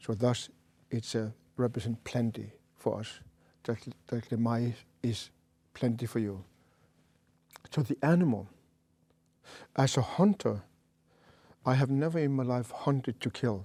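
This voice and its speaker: Pausing long and often, a man with a dark, mellow tone speaks at a moderate pace and medium pitch with ordinary pitch variation. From Greenland. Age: 60s. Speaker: shaman. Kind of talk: interview conversation. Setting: studio. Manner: halting.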